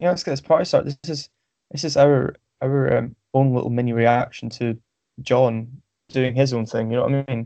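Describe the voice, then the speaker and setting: A man speaks with a Scottish accent at a moderate pace. His medium-pitched voice has a dark, mellow tone and fairly even intonation. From Scotland, Stirling. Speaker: forum member, podcast host. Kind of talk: casual chat. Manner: halting, many fillers.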